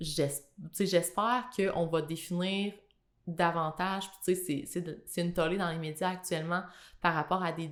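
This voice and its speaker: A woman at a moderate pace, in a Quebec accent, with fairly even intonation. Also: fairly low pitch for a woman, big swings in loudness. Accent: Québécois French. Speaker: podcast guest. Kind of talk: casual interview.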